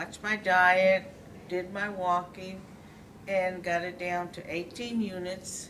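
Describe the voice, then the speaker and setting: A woman at a very slow pace, medium pitch and monotone, flat intonation, with audible room echo and noticeable background noise. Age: 60s. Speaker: tai chi class participant. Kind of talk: testimony.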